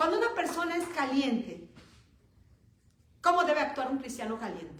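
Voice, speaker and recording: Her pitch is high for a woman and swings very widely. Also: moderate pace. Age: 60s. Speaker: preacher. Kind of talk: sermon.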